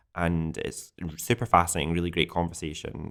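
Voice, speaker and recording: A man with a very deep, low pitch talks at a moderate pace in a very clean recording with a silent background. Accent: Glaswegian. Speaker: podcast host. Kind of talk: casual chat. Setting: indoors, wind howling outside.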